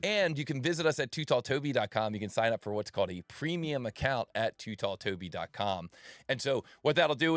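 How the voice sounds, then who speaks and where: With lively intonation and an animated tone, a man talks at a fairly quick pace in a very clean recording with a silent background and a dry, close sound with no echo. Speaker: CAD tournament livestream host. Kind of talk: live esports commentary. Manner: loud.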